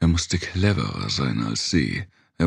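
A man with a very deep, low pitch speaks at a fairly slow pace. His tone is intense and menacing, with vocal fry. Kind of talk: dramatic audiobook narration of a horror novel. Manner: intense, menacing, shifting between narration and character voices.

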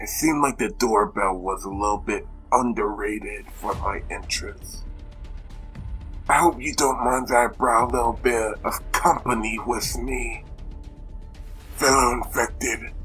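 A man performs a cartoonish character voice at a moderate pace, leaving long, frequent pauses, while clear music plays in the background. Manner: theatrical, gloating, menacing; bossy, angry.

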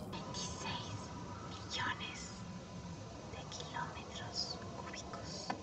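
Long, frequent pauses break up a woman's very slow speech. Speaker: ASMR artist. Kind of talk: ASMR relaxation video.

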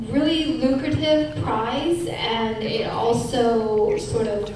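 With lively intonation, a woman speaks amid strong room echo and noticeable background noise. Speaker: panelist. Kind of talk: panel talk. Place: hall. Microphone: pa.

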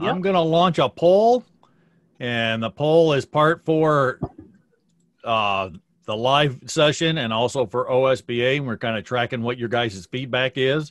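A man uses a plain, everyday voice at a medium pitch and a fairly slow pace. His pitch varies in an ordinary way, in a dry, close sound with no echo. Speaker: beekeeping association director. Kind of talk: announcement. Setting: video call.

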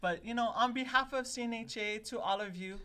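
With a bright, sharp tone, a woman speaks at a moderate pace and with ordinary pitch variation. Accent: Hawaiian. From Hawaii, Oahu (Palolo); Hawaii. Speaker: podcast co-host. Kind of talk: casual chat. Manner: animated. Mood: warm, laughing. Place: studio. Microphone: studio mic.

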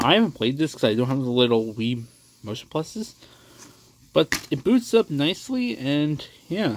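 Over noticeable background noise, a man with an American accent and a fairly high pitch speaks at a moderate pace with very wide pitch swings and long, frequent pauses. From Texas. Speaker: gaming youtuber. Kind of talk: casual video collection showcase. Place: home room. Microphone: phone near.

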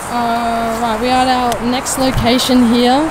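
Loud background noise fills the clip. The sound is dry, with no echo. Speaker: urban explorer vlogger. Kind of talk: casual vlog chat. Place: street. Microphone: phone near.

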